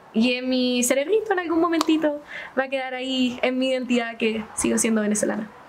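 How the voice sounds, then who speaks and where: A woman with a high voice speaks at a fairly quick pace with ordinary pitch variation, over noticeable background noise and audible room echo. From Venezuela (Caracas), moved to Chile as a child. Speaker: university student, immigrant interviewee. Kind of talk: interview. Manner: loud.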